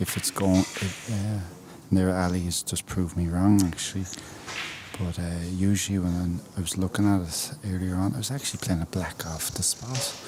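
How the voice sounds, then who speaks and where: With a Wexford Irish accent, a man speaks at a moderate pace. His pitch is very deep and low, and his intonation fairly even. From Ireland, Wexford. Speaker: guest snooker commentator. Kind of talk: live sports commentary. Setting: commentary booth.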